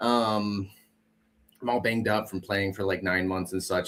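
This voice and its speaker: A man talks at a moderate pace. He speaks with a Wisconsin accent. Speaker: returning guest, amateur hockey player. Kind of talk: casual chat. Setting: online stream.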